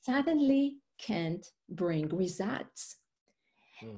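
A woman speaks in an Israeli accent, somewhat breathy. The background is quiet. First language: Hebrew. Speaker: life coach and author. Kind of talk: interview conversation.

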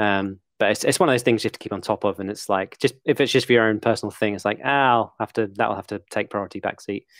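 With an English accent, a man speaks at a very fast pace with hardly any pauses, a fairly low pitch and fairly even intonation, in a very clean recording with a silent background. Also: dry, close sound with no echo. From England. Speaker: game animator and video educator. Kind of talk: casual interview chat.

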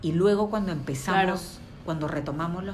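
A woman at a moderate pace with ordinary pitch variation, audible room echo and music in the background. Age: 40s. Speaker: interior designer. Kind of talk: interview.

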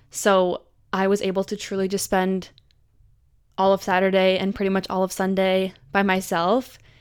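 On a very clean recording with a silent background, a woman speaks at a medium pitch and a moderate pace. Her intonation is monotone and flat. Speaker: podcast host. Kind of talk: solo monologue. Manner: rambling.

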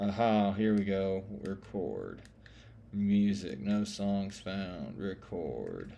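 Very slow and fairly low in pitch, a man speaks with a dark, mellow tone and fairly even intonation. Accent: Southern US. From US South. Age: 30s. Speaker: podcast host. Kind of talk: casual monologue. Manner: rambling, many fillers.

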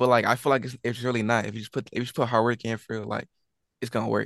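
An American-accented man at a medium pitch races along at a very fast pace, monotone and flat with vocal fry, in a dry, close sound with no echo. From Texas, San Antonio. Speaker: rapper, collective member. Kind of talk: casual interview.

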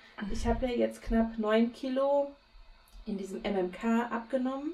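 There is noticeable background noise as a woman speaks in a fairly high pitch with ordinary pitch variation. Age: 30s. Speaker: podcast co-host. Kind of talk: casual chat. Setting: recording from home, remote.

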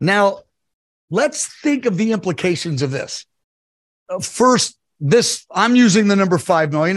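The speech moves at a moderate pace. Nothing much stirs in the quiet background. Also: man. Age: 60s. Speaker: ministry leader and preacher. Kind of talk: prophetic message in interview. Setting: video call.

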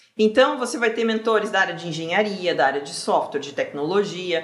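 Her pitch swinging very widely, a woman talks at a fairly quick pace over noticeable background noise. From southern Brazil (Rio Grande do Sul). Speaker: career mentor. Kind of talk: casual interview chat.

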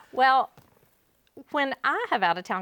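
On a very clean recording with a silent background, a woman with a Louisiana accent sounds dry and close, with no echo. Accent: Louisiana Southern US. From Northwest Louisiana. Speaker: realtor. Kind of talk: casual chat.

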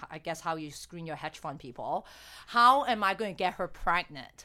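A woman with a bright, sharp tone and fairly low pitch talks at a moderate pace. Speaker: fertility doctor hosting a podcast. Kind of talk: casual interview chat.

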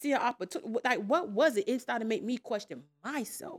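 A woman speaks in a normal speaking voice at a moderate pace, her pitch fairly high and her intonation lively. The sound is dry and close, with no echo. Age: 30s. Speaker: podcast panelist. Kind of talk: casual chat.

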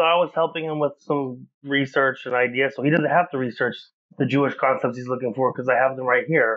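A man speaks with an American accent in an ordinary speaking voice, medium in pitch. His pace is fairly quick and his intonation fairly even. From Oklahoma, US. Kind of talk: casual chat.

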